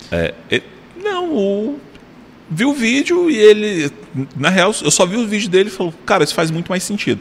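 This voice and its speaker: Against noticeable background noise, a man with a high pitch talks at a moderate pace, his voice swinging very widely in pitch, with long, frequent pauses. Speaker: podcast host. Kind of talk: casual chat.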